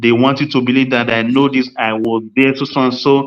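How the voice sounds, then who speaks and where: At a moderate pace, the speaker talks with a Nigerian accent. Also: man. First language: Nigerian language (mother tongue). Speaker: podcast host. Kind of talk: casual chat. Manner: animated.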